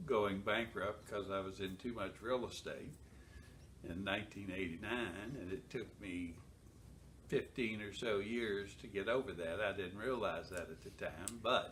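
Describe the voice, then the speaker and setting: In a room with audible echo, a man talks at a fairly slow pace with a fairly low pitch and ordinary pitch variation. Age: 70s. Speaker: accountant, network marketing member. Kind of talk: testimony. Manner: halting.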